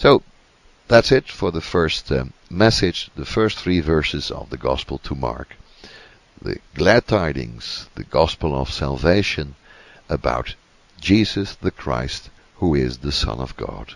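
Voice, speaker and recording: Vocal fry colors a fairly slow delivery in a Dutch accent with lively intonation. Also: man, very deep, low pitch for a man. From Netherlands. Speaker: Bible teacher. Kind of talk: Bible teaching talk. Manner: halting with many fillers.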